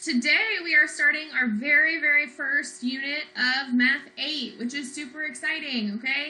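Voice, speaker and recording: A raised, projected voice with a bright, sharp tone moves at a fairly slow pace with ordinary pitch variation, amid audible room echo. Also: woman. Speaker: math teacher. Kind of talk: lecture.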